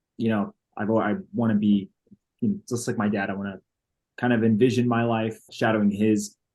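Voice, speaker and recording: A man with an American accent, medium-pitched and monotone, flat in intonation, at a fairly quick pace. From Dallas, Texas. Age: 20s. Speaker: entrepreneur. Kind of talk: casual interview chat.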